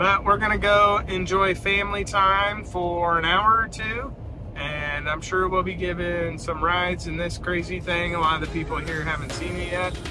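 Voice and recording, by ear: Over clear background noise, a man speaks at a moderate pace in a high pitch with fairly even intonation.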